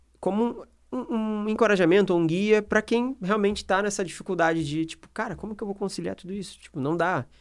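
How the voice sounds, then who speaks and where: This is a man speaking on a very clean recording with a silent background. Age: 30s. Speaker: podcast host. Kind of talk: casual chat.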